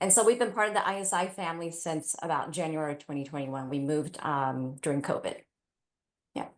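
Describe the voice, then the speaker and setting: A woman talks at a fairly quick pace with a fairly low pitch. Her intonation is lively, and the background is quiet. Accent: Mandarin. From Taiwan. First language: Mandarin. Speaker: parent panelist. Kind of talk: panel discussion.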